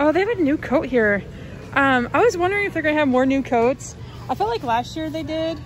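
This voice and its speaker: In a dry recording with no echo and light background noise, a woman speaks at a moderate pace in a high pitch. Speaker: shopping vlogger. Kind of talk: casual vlog chat. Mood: excited, chatty. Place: shop. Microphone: phone near.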